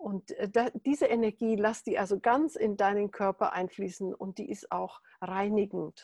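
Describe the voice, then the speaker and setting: In a dry, close sound with no echo, a woman has an unremarkable speaking voice at a medium pitch, with ordinary pitch variation and a fairly slow pace. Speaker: meditation teacher. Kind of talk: guided meditation. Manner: calm, slow, soothing; gentle, instructive.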